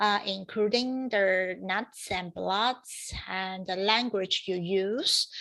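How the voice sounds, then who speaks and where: A woman talks with a Chinese accent and fairly even intonation. The recording is very clean, with a silent background. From China. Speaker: professor. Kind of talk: lecture. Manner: halting.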